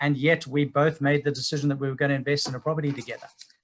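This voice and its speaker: The speaker is a man with a Zimbabwean accent and a fairly high pitch. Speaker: property investment speaker. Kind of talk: webinar presentation. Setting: online webinar.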